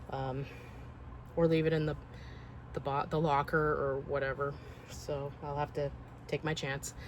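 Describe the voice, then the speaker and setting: With vocal fry, a woman talks at a moderate pace in a very deep, low pitch and a monotone, flat intonation. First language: not English. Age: 40s. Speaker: collector vlogger. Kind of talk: casual vlog monologue.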